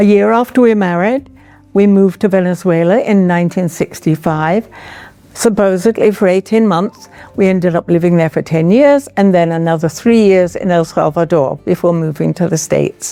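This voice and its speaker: The speaker has an English accent and ordinary pitch variation. The loudness stays very even, with music playing in the background. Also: woman, medium pitch for a woman, moderate pace. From England. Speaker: retired artist. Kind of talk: artist talk.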